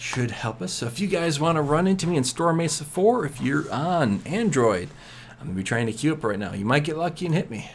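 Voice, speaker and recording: Vocal fry, very wide pitch swings and a fairly quick pace. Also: man, fairly high pitch for a man. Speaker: game streamer. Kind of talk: live gameplay commentary. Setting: home late-night stream. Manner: quieter than usual, kept down; casual, repetitive filler.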